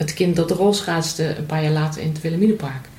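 Audible room echo around a fairly low female voice with fairly even intonation. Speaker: mother of host. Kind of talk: casual chat.

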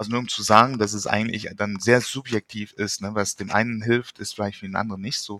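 A man talks at a fairly quick pace in a fairly low pitch. His tone is bright and sharp, and his intonation is monotone and flat. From Luxembourg. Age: 40s. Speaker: psychotherapist and author. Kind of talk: interview.

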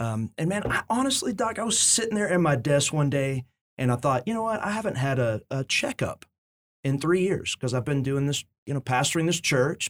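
With very wide pitch swings, a man talks at a fairly quick pace in a fairly high pitch, the sound dry and close with no echo. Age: 40s. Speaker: pastor. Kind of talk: casual chat. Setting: studio.

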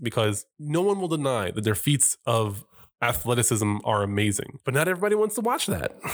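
In a plain, everyday voice, a man speaks at a moderate pace with ordinary pitch variation on a very clean recording with a silent background. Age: 30s. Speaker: podcast host. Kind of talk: casual chat.

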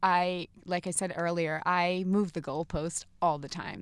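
A woman with an American accent has an unremarkable speaking voice, fairly low in pitch. Her intonation is fairly even on a very clean recording with a silent background. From New Jersey. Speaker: business executive. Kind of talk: interview.

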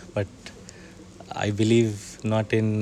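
This man's voice sits fairly low. There is noticeable background noise. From India, Bihar. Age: young. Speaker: NGO co-founder, rural entrepreneur. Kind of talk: interview. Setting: conference venue. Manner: halting.

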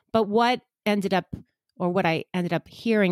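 A woman with a New York accent speaks with ordinary pitch variation, the sound dry and close with no echo and the recording very clean over a silent background. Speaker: psychic medium and energy healer. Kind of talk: casual interview chat.

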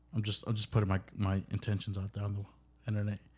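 A man speaks in a fairly low pitch at a moderate pace. His voice is somewhat breathy. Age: 30s. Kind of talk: casual chat. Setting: studio.

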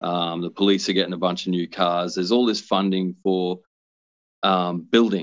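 Against a quiet background, a man with an Australian accent talks at a moderate pace in a very deep, low voice with monotone, flat intonation. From Brisbane, Queensland, Australia. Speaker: social worker. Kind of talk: interview.

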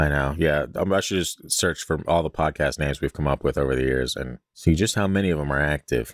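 A man with a very deep, low voice speaks with hardly any pauses and ordinary pitch variation. The very clean recording has a silent background and a dry, close sound with no echo. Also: fairly quick pace. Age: 30s. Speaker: podcast host. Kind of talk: casual chat.

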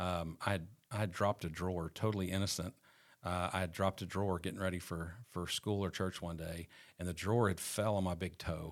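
A man with a Southern US accent, very deep, low pitch, monotone, flat intonation and a fairly quick pace, in a very clean recording with a silent background. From Arkansas, Fort Smith area. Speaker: real estate agent sharing recovery testimony. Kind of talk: testimony. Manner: halting, many fillers.

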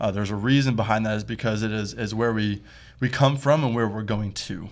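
Ordinary pitch variation in a Midwestern American accent. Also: man. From US Midwest (Toledo, Ohio). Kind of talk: casual interview.

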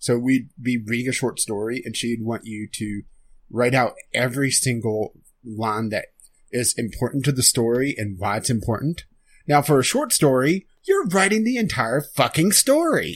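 Using an ordinary speaking voice, a man talks at a moderate pace in a medium pitch. His pitch varies in an ordinary way. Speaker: podcast co-host. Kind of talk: casual chat. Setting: Skype call.

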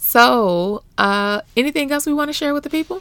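Very clean, with a silent background, this recording features a woman with an American accent. She speaks at a moderate pace, her pitch swinging very widely. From US Midwest (Flint, Michigan). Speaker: podcast host, mother and pastor's wife. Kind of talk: casual chat. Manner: animated.

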